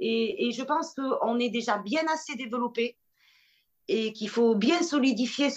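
Pitch varies in a normal way as the words come at a fairly slow pace. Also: woman. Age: 40s. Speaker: association founder. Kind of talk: interview. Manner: halting.

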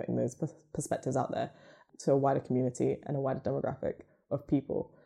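A woman with a southern English accent. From England, Luton. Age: young. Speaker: podcast network co-founder. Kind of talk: casual interview.

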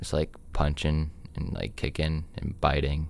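A man with a very deep, low voice and vocal fry speaks at a moderate pace with fairly even intonation. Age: 18. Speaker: podcast guest. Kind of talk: casual chat.

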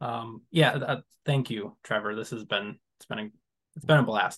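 Speaking with an American accent, a man keeps a moderate pace and ordinary pitch variation. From West Michigan. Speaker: horror author. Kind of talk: casual interview chat. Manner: hesitant, many fillers and laughs.

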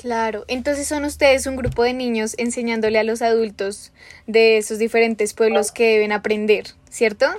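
With monotone, flat intonation, a woman speaks at a moderate pace in a fairly high pitch. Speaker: podcast host. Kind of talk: interview.

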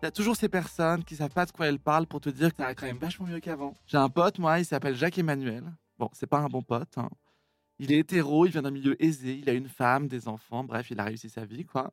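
A man at a fairly high pitch with ordinary pitch variation and a very fast pace, dry and close with no echo, on a very clean recording with a silent background. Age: 30s. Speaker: comedian. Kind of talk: monologue.

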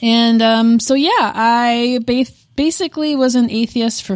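In an ordinary speaking voice, a woman with an American accent talks at a fairly high pitch. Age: 30s. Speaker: podcast co-host. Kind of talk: casual chat. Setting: in-person recording.

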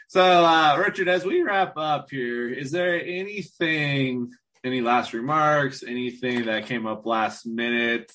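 A man speaks in a normal speaking voice with ordinary pitch variation. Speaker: podcast co-host. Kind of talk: podcast intro and interview.

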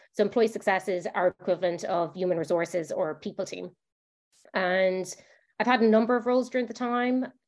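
With a Limerick accent, a woman speaks at medium pitch and a fairly quick pace, with ordinary pitch variation. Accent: Irish (Limerick). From Ireland, Limerick. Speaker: HR director. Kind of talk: podcast interview.

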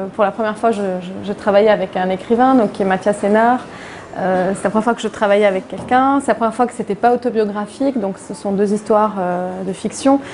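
A woman speaking at a fairly quick pace with fairly even intonation, over noticeable background noise. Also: medium pitch for a woman. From Lebanon, Beirut. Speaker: comic book author. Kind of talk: public interview. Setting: event with live audience. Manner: halting, many repetitions.

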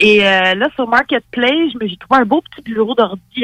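A woman's fairly high voice with a Quebec accent, ordinary pitch variation, and a dry, close sound with no echo. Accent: Québécois French. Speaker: biology columnist. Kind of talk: informal explainer; casual chat.

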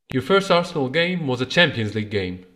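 A man with an Egyptian accent at a fairly quick pace. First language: Egyptian Arabic. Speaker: podcast host. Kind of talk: interview.

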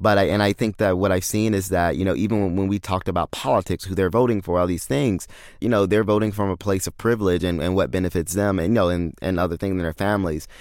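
Very fast speech comes from a man with a very deep, low pitch. The recording is very clean, with a silent background. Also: hardly any pauses. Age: 20s. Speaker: app founder, tech entrepreneur. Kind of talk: interview. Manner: halting, many fillers and repeats.

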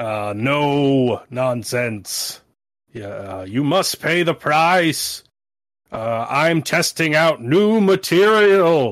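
A man puts on a character voice at a fairly high pitch. He speaks at a very slow pace on a very clean recording with a silent background. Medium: actual play. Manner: grandiose intoning.

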